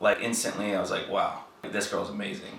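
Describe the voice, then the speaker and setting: A man talks at a moderate speed amid noticeable background noise. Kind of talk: casual conversation.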